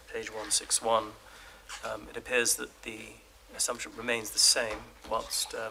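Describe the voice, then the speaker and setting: Quietly, a man at medium pitch speaks over noticeable background noise. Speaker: opposition member of parliament. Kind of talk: parliamentary committee questioning. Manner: quiet, hard to hear.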